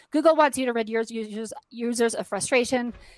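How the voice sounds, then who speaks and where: In a very clean recording with a silent background, a woman speaks in a fairly high pitch with ordinary pitch variation. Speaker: conference speaker. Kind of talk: presentation. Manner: fast.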